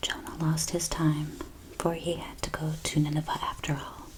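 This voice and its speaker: Soft-spoken delivery at a fairly slow pace over noticeable background noise. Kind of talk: soft-spoken devotional reading for relaxation.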